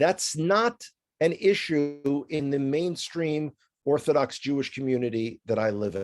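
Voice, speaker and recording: Someone with a New York accent speaks at a fairly slow pace with lively intonation. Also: man, fairly high pitch for a man. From New York City (the Bronx). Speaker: tour guide. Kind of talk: interview.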